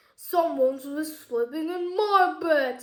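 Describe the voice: This is a put-on character voice pitched high. The pace is fairly slow.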